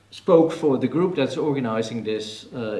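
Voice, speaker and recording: A man with a medium-pitched voice talks amid noticeable background noise and audible room echo. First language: Dutch. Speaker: professor and author. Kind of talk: press conference panel talk. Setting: press conference in a TV café.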